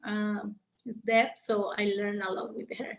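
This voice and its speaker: A woman speaks in a somewhat breathy voice with a Mexican accent. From Mexico. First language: Spanish. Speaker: conservation biologist. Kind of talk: interview Q&A. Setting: video call. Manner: halting, many fillers and repetitions.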